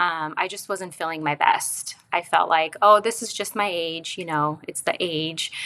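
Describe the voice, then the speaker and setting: A woman with a fairly low pitch talks at a fairly slow pace with hardly any pauses and fairly even intonation. Noticeable background noise can be heard. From Romania. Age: 40s. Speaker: podcast guest, wellness executive. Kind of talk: personal testimony.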